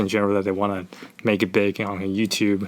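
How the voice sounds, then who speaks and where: A man with a non-native accent speaks at a very fast pace. His pitch is fairly low. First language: not English. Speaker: climbing and calisthenics YouTuber. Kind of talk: casual interview. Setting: podcast. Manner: halting.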